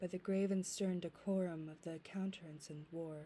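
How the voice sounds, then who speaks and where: Soft-spoken and fairly low-pitched, this woman's voice has a dark, mellow tone and a monotone, flat intonation. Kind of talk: poetry reading, ASMR.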